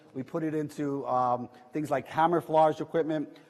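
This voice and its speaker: A man speaks with a New York accent in a fairly high-pitched voice. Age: 60s. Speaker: entrepreneur. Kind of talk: talk to audience. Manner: animated.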